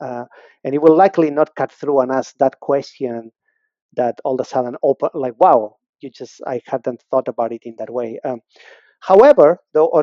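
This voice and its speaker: With a non-native accent, a man speaks at medium pitch using ordinary pitch variation. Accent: foreign. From abroad, non-native English speaker. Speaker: learning and development director. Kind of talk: interview conversation. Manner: fast.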